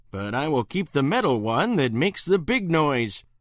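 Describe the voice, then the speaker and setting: Using a put-on character voice, a man swings his fairly high pitch very widely at a moderate pace. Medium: read story.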